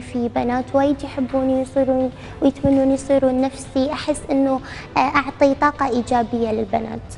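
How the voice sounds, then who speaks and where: A woman speaks at a high pitch. Her pace is fairly slow, with noticeable background noise. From Iraq. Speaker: social media model. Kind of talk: TV interview. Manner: coquettish, affected; halting with fillers.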